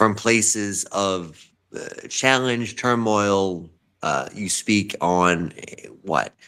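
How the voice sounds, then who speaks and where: In a very clean recording with a silent background, a man with a New York accent speaks very slowly, his fairly low pitch carrying a bright, sharp tone and lively intonation. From New York, Bronx lineage. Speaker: writer and guest on an arts talk show. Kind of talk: casual interview chat. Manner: animated; halting.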